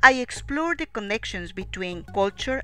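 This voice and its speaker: A woman with a Spanish accent talks on a very clean recording, the background silent. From Peru, Lima. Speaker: narrator of a video essay. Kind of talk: scripted narration. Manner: formal.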